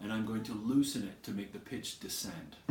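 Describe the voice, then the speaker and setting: Audible room echo and noticeable background noise surround a man who talks at a moderate rate. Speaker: music teacher. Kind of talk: tutorial.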